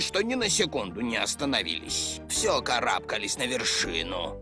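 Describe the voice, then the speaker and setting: A man performs a put-on character voice. Loud music plays in the background. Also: moderate pace. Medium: fan dub. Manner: warm, gentle.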